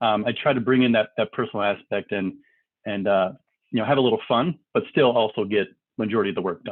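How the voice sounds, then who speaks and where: A man speaks at a very fast pace. His voice is fairly low in pitch, with ordinary pitch variation. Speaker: company CEO. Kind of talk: interview. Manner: loud; animated.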